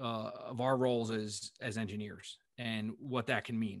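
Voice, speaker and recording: A man is speaking. His pace is moderate. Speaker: geotechnical engineer. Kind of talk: podcast interview.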